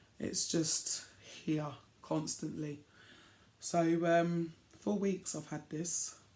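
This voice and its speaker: Here a woman with a fairly low voice speaks. Her pace is very slow. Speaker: crafting vlogger. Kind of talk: casual vlog chat.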